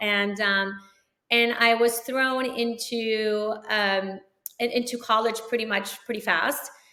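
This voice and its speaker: A woman's voice, fairly high in pitch. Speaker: orthodontist. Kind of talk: interview chat.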